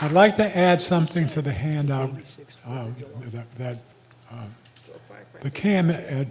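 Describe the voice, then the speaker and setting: Over noticeable background noise, a man with a fairly high pitch talks at a fairly slow pace, his pitch swinging very widely between long, frequent pauses. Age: 80s+. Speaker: community association delegate. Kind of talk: community meeting remarks. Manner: halting.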